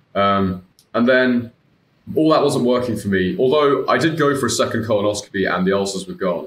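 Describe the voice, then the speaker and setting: A man with a British accent speaks at a fairly quick pace, his medium pitch carrying lively intonation. Audible room echo is present. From UK. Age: 20s. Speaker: IBD patient and former coaching client. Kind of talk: casual interview chat. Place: home room.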